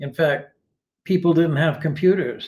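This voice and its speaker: This man's voice is fairly high, dark and mellow, and somewhat breathy. He keeps a moderate pace and fairly even intonation. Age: 80s+. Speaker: retired philosophy teacher, online writer. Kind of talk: interview answers. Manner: halting, many restarts.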